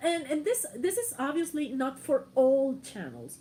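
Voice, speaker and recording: Noticeable background noise accompanies the woman as she talks. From Mexico, Morelia. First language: Spanish. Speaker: YouTuber. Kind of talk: casual livestream chat.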